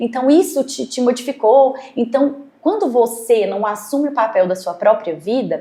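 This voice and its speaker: A woman's high voice with a dark, mellow tone and lively intonation. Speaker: doctor or therapist guest. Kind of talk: podcast interview. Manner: fast.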